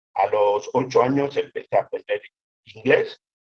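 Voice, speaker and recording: Speaking at a fairly slow pace, a man has a Cameroonian accent. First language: Yambasa (speaking Spanish). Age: 50s. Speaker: storyteller and writer. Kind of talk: interview. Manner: halting.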